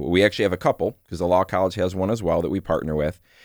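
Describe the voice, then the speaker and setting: The speaker has an American accent. The recording is very clean with a silent background, and the sound is dry and close with no echo. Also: man. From Michigan. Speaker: university veterans center director and Marine veteran. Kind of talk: interview. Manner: many filler words (uh, um).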